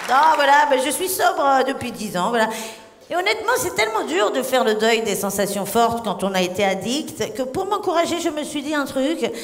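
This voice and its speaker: A woman speaks at a moderate pace in a high pitch with very wide pitch swings. Audible room echo and noticeable background noise are present. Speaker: stand-up comedian. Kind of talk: stand-up. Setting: stage with audience. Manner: animated.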